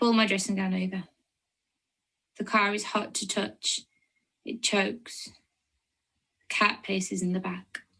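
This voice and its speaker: In a Lancashire accent, this bright, sharp voice moves at a fairly slow pace over a very clean recording with a silent background. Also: woman. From Lancashire, northern England. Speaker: poet. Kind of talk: poetry reading.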